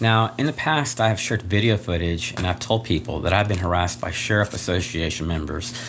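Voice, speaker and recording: Over noticeable background noise, a soft-spoken man with a fairly low pitch talks at a fairly quick pace with hardly any pauses. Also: ordinary pitch variation. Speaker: vlogger. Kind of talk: personal video complaint. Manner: halting.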